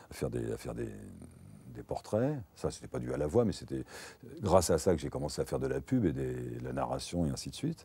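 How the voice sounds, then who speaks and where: Dark, mellow tone with vocal fry, big swings in loudness and ordinary pitch variation, at a fairly quick pace on a very clean recording with a silent background. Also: man, very deep, low pitch for a man. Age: 60s. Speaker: voice actor. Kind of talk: interview monologue. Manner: halting.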